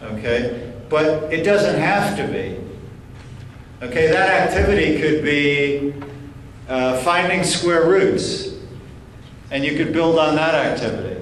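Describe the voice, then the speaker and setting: In a room with audible echo and noticeable background noise, a man with a fairly high pitch speaks very slowly with lively intonation and long, frequent pauses. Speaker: professor, keynote speaker. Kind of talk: lecture Q&A. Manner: halting, repeats words.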